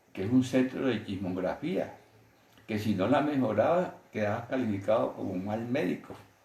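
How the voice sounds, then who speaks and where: With a dark, mellow tone, a man's somewhat breathy voice carries lively intonation amid audible room echo. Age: 70s. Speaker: physician. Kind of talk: interview, storytelling.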